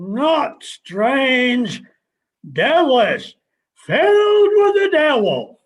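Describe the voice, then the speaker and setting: Using a put-on character voice, a man speaks at an extremely high pitch. His pace is very slow. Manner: curt, terse, deadpan.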